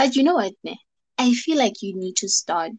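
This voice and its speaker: Fairly slow, lively intonation over background music, with a dry, close sound and no echo. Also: woman. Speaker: podcast co-host and radio broadcaster. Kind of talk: casual chat. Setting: video call. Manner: laid-back.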